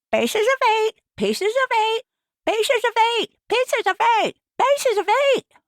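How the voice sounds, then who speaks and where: In a put-on character voice, a woman sounds squeaky, shrill and robotic at an extremely high pitch, speaking at a moderate pace with long, frequent pauses. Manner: repetitive, mechanical.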